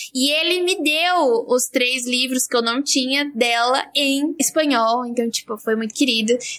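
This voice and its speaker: A woman with a high voice talks fairly slowly, and her pitch shows ordinary variation. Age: 20s. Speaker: physicist and science communicator. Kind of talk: casual chat.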